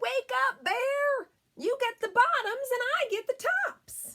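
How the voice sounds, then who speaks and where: A squeaky put-on character voice at a fairly slow pace. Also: woman, extremely high pitch for a woman. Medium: read story. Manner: persuasive, cheerful.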